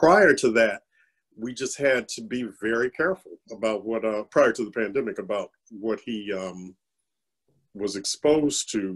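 A man speaks at a moderate pace with a medium pitch. His pitch varies in an ordinary way over a quiet background. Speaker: parent of lupus patient. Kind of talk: panel discussion. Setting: video call webinar. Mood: calm, reflective. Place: home room. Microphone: webcam.

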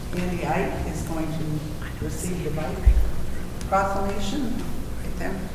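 Very slow speech with audible room echo and loud background noise. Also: woman. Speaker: city mayor chairing council meeting. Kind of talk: formal council meeting. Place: hall.

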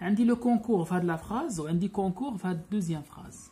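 This woman's voice has a medium pitch with ordinary pitch variation. She talks at a fairly slow pace. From Morocco. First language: Moroccan Arabic (speaking French). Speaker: French grammar teacher. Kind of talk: lecture. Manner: code-switching Darija and French. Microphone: phone near.

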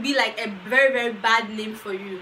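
Raised and projected, a woman's voice shows ordinary pitch variation over light background noise. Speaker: vlogger. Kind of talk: casual advice vlog.

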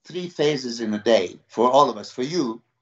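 A man speaks with ordinary pitch variation. The background is quiet, but audible room echo comes through. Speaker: bodybuilding coach. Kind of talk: interview answer. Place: home room. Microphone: video call.

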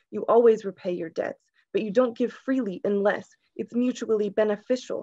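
Over a quiet background, a woman with a fairly high, shaky voice speaks at a moderate pace with fairly even intonation. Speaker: poet. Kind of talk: poetry reading. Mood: calm, earnest, reflective. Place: home room. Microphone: video call.

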